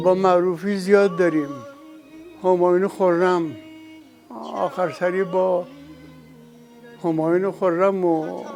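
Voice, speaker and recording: With music playing behind him, a man speaks very slowly in a high voice, taking long, frequent pauses. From Isfahan province, Iran. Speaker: vocalist and musician. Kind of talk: interview answer.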